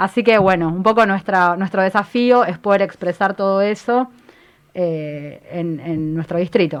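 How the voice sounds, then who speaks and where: At a fairly slow pace, a woman talks in a normal speaking voice with a medium pitch and ordinary pitch variation. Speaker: feminist activist and candidate. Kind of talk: political interview.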